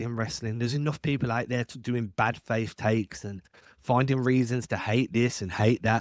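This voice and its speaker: Speaking at a fairly quick pace, a man with an English accent and a medium pitch sounds dry and close, with no echo. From England. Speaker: wrestling podcaster. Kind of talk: solo podcast commentary. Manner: casual.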